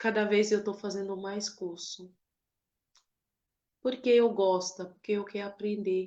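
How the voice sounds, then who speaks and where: A woman's medium-pitched voice moves along at a very slow pace. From Cameroon. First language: not Portuguese; Cameroonian languages/French or English (speaking Portuguese). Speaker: author and lawyer. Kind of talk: book launch speech. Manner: emotional, emphatic.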